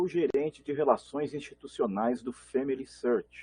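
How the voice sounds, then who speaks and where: A man speaks with a Rio de Janeiro accent at a fairly high pitch. His intonation is lively. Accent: carioca. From Brazil, Belo Horizonte (born Rio de Janeiro). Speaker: genealogy organization manager. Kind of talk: panel talk.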